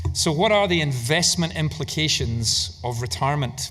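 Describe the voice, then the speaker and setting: A man with a Scottish accent talks at a fairly high pitch. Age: 60s. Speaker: investment manager. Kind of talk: conference keynote talk.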